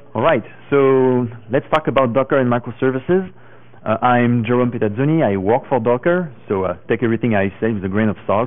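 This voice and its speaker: Speaking at a fairly quick pace, a man talks with a French accent. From France. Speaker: tech conference speaker. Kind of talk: conference talk.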